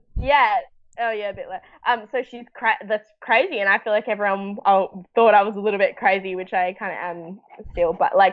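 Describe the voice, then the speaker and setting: A woman with an Australian accent talks at a fairly quick pace in an animated tone. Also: medium pitch for a woman, big swings in loudness. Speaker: actor. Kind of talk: casual chat. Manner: loud.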